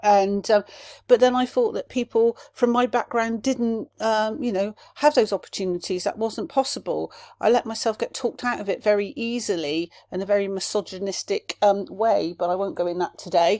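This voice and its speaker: Recorded very cleanly against a silent background, a woman with a fairly high pitch speaks in a dark, mellow tone, with a dry, close sound and no echo. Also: ordinary pitch variation. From Somerset, southwest England. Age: 50s. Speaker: podcast host, life coach. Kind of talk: solo podcast monologue. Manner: animated, with filler words; fast when passionate.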